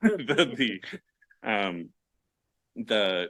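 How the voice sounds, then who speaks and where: A man talks with a fairly low pitch. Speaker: library IT staff presenting at a conference. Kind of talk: conference presentation. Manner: fast; halting, many fillers.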